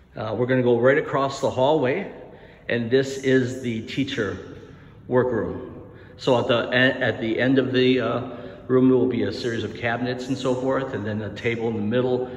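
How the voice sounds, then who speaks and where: In a room with audible echo, a man speaks at a moderate pace in a monotone, flat intonation. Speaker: tour guide for a school building. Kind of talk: walking tour narration. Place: empty room. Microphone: phone near.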